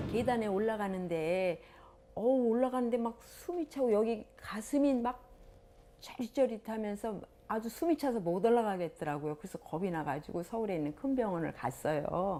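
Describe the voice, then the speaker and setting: A woman speaks at a fairly high pitch with very wide pitch swings. Her tone is dark and mellow, and her pace is moderate. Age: 60s. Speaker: health show participant. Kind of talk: casual interview testimony.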